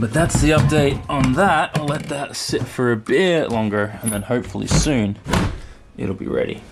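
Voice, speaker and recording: Over music in the background, a man with an American accent speaks with lively intonation. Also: medium pitch for a man, moderate pace. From Australia. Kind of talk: casual talk to camera.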